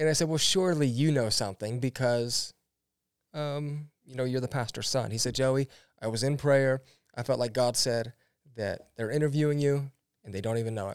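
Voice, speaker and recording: A man with an American accent speaks at a medium pitch and a moderate pace, in an ordinary speaking voice. The sound is dry and close with no echo, and the recording is very clean, with a silent background. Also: ordinary pitch variation. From US Midwest, Ohio. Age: 30s. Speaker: pastor. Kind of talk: interview.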